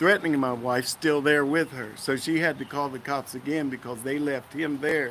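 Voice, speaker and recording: At a fairly slow pace, a man speaks with fairly even intonation at a medium pitch. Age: 60s. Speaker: interviewee recounting police arrest. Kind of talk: testimony.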